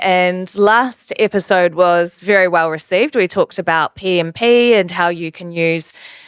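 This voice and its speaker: Her voice sits at medium pitch, and this woman speaks with a New Zealand accent. The sound is dry and close, without echo. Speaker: podcast host. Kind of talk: interview.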